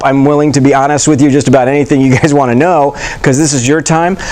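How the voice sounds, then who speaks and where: Noticeable background noise sits behind a man speaking at a very fast pace. His voice is fairly high, with fairly even intonation. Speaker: emergency medicine physician. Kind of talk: lecture. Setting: stage with audience. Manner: casual, filler-heavy.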